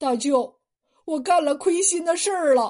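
A woman uses a put-on character voice, shaky and high-pitched, at a moderate pace. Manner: trembling, shaky.

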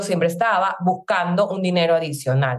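Fairly brisk female speech with normal rise and fall. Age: 30s. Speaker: network marketing entrepreneur. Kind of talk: testimony.

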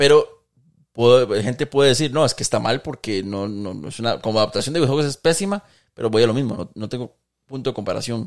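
A man at a very fast pace with lively intonation, on a very clean recording with a silent background. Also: medium pitch for a man. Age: 30s. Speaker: gaming content creator. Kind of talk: casual chat.

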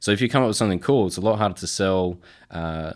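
A man with an Australian accent at a very fast pace, in a very clean recording with a silent background. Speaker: supply chain professional. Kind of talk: interview.

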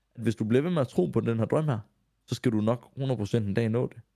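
The voice has a dark, mellow tone, recorded with a dry, close sound and no echo, at a moderate pace. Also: man. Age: 20s. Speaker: radio host and influencer. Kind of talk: casual interview.

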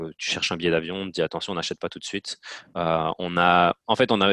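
The sound is dry and close, with no echo. A man speaks in a very deep, low pitch. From Belgium, Namur province. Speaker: marketing specialist. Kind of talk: interview. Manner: hesitant, many fillers.

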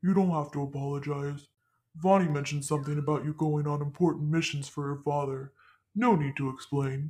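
The voice sits at a low-to-middle pitch and moves at a fairly quick pace with fairly even intonation. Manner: warm, teasing.

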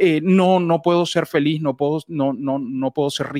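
This is a man speaking with a fairly high voice. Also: dry, close sound with no echo, very clean recording, silent background. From Venezuela. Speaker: voice actor and announcer. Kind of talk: interview. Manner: halting, repeats words.

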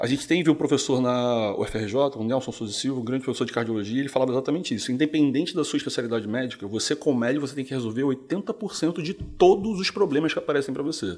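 Over noticeable background noise, a man talks very fast at a medium pitch with lively intonation. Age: 40s. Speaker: physician. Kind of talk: casual interview. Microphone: too far from the mic.

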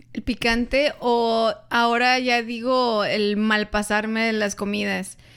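A woman speaks at a very slow pace yet with hardly any pauses, her fairly high pitch delivered in flat, monotone intonation. The recording is very clean, with a silent background. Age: 30s. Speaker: podcast co-host. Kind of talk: casual chat.

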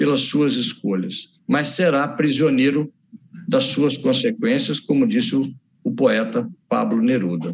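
A man's voice with vocal fry. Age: 60s. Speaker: doctor and author. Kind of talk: interview.

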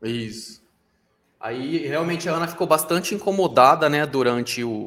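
In a normal speaking voice, a man uses a fairly high pitch with ordinary variation at a moderate pace. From Brazil. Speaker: TV news podcast co-host. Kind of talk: casual chat. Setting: live stream.

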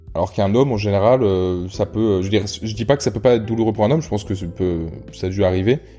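A very fast pace over noticeable background noise. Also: man, fairly low pitch for a man, ordinary pitch variation. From France, Rhône-Alpes. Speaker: podcast host. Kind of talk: casual chat. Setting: at guest's home. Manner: hesitant, many fillers.

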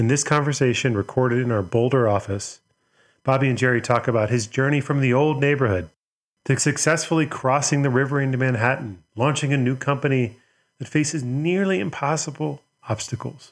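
Against a quiet background, a man uses an ordinary speaking voice at a medium pitch, speaking at a fairly quick pace with ordinary pitch variation. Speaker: podcast host. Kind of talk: scripted intro and ad read.

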